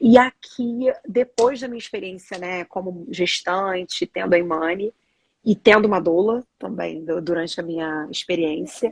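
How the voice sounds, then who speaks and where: The speech is fairly slow, with big swings in loudness and a Rio de Janeiro accent. The sound is dry and close, with no echo. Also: woman, medium pitch for a woman, ordinary pitch variation. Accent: Rio de Janeiro (carioca) accent, noticeable. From Brazil, Rio de Janeiro. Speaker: doula and samba teacher. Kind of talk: casual interview chat. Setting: live video stream.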